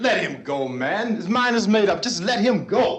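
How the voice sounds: A man puts on a character voice, pitched high with big swings, fairly bright in tone, at a fairly slow pace, with strong room echo.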